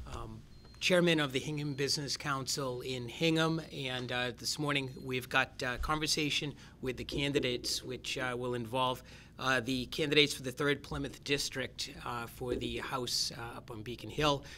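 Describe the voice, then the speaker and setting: A man talks at a moderate pace with fairly even intonation and a bright, sharp tone. Light background noise is present. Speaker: event facilitator. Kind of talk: event introduction. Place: meeting room.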